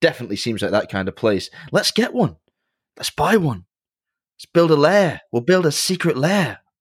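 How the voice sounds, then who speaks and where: A man's fairly high, very widely swinging pitch in an English accent, with vocal fry, big swings in loudness, long, frequent pauses and a moderate pace. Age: 30s. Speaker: watchmaker and podcast host. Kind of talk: casual chat.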